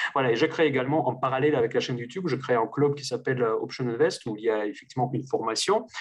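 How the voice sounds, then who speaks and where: This man talks at a very fast pace with hardly any pauses. His pitch sits in the medium range and varies an ordinary amount. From Russia. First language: Russian (speaking French). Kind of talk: interview conversation. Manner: hesitant, many fillers.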